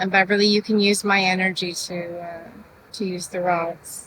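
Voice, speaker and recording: A soft-spoken woman talks at a moderate pace with monotone, flat intonation. Noticeable background noise is heard. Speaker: true crime channel host doing paranormal investigation. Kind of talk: on-location paranormal investigation vlog. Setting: outdoors at a cemetery by a road. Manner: speaking louder than usual.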